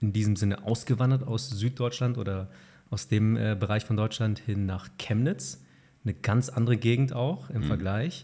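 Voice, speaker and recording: An unremarkable speaking voice, this man's is fairly low-pitched with ordinary pitch variation. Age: 30s. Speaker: podcast host. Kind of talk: interview.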